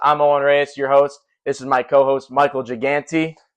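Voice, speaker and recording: Talking at a moderate pace, a man with a Midwestern American accent speaks at a fairly high pitch. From US Midwest, Cleveland area, Ohio. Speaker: podcast host. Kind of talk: casual chat.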